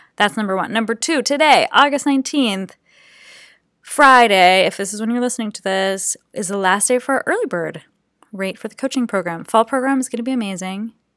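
Playful and animated in tone, a woman speaks at a fairly quick pace with fairly high pitch and lively intonation. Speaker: podcast host and creative coach. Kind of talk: pep talk. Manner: animated, warm and encouraging; casual, chatty, playful.

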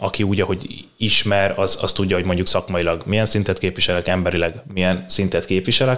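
With a very deep, low pitch, the man talks at a fairly quick pace using fairly even intonation. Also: very even loudness. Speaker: strength and conditioning coach. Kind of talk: interview.

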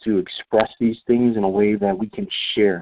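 Fairly low male pitch, delivered at a moderate pace. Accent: American. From US, upstate New York (Rochester). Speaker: counselor and author. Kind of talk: interview. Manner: halting, many fillers.

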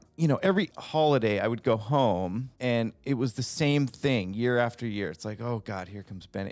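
In an ordinary speaking voice, a man talks fairly quickly at medium pitch with lively intonation. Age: 40s. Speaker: guest sharing addiction recovery story. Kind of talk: casual chat; personal testimony.

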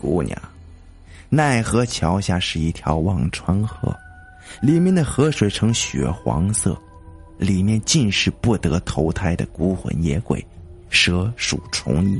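A man's put-on character voice, low and hoarse, with big pitch swings and a slow pace, over faint background music.

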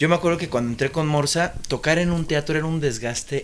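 A man with a plain, everyday voice, fairly high in pitch, at a moderate pace. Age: 40s. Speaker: musician. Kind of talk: casual chat.

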